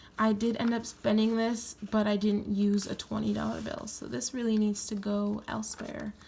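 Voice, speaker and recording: A woman at a moderate pace with hardly any pauses, over noticeable background noise. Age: 20s. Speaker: planner YouTuber. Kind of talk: tutorial. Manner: casual.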